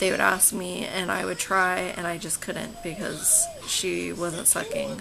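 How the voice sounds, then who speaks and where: A woman's medium-pitched voice with an American accent at a fairly slow pace, over noticeable background noise. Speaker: mother of a baby born with cleft palate. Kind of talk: casual talk to camera.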